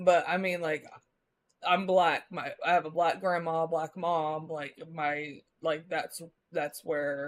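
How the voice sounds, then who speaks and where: A woman speaks very slowly in a fairly low voice, flat and monotone, with a slight Southern US accent. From US Midwest, Missouri. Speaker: live streamer. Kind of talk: casual chat. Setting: live stream. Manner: casual, rambling speech with many fillers.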